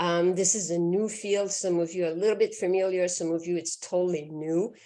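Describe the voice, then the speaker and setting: Fairly low in pitch and dark, mellow in tone, a woman with a Quebec accent speaks at a fairly quick pace in a monotone, flat intonation. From Quebec, Canada. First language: French. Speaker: physician. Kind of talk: lecture.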